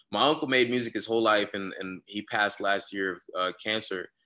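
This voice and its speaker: Speaking at a moderate pace, a man with a fairly low pitch has a bright, sharp tone and fairly even intonation. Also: quiet background. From Florida. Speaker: rapper and producer. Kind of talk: casual chat.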